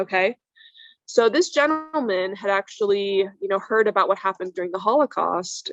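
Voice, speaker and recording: With an American accent, a woman talks at a fairly quick pace in an ordinary speaking voice, her medium pitch showing ordinary pitch variation. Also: dry, close sound with no echo. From Iran, raised in US from childhood. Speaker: plastic surgeon. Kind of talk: interview storytelling. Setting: podcast.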